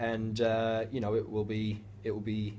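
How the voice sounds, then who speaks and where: With an American accent, a man speaks in a somewhat breathy, monotone and flat way amid audible room echo. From United States. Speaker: professional footballer. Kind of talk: interview. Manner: hesitant, many fillers.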